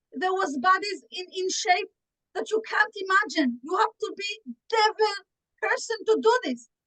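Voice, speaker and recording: An extremely high, bright and sharp woman's voice with an Israeli accent and very wide pitch swings, dry and close with no echo. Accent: Israeli Hebrew. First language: Hebrew. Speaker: activist panelist. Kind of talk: panel speech. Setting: video call. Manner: halting; impassioned.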